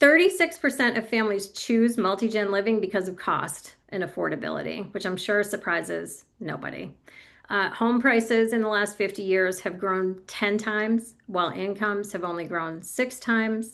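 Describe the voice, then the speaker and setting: At a moderate pace, a woman speaks in an unremarkable speaking voice at a medium pitch over a quiet background. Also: ordinary pitch variation. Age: 50s. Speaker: speaker and expert on multigenerational living. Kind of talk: professional workshop presentation. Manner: conversational, with fillers and self-corrections.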